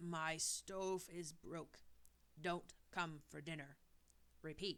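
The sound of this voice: In a put-on character voice at a middle pitch, the speaker delivers lines at a very slow pace with monotone, flat intonation.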